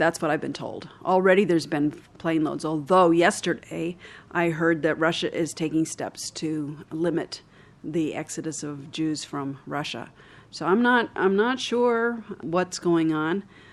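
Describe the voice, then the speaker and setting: At a fairly slow pace, a woman uses a normal speaking voice, fairly low in pitch, with ordinary pitch variation. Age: 60s. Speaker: charity leader. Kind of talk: interview.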